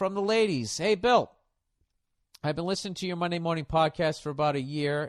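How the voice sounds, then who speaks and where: Here a man has an ordinary speaking voice, fairly high in pitch, with lively intonation. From United States. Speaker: comedian. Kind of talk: podcast advice segment.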